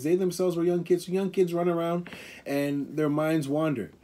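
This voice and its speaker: This man's tone is dark and mellow. His pace is fairly quick. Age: 40s. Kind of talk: casual chat.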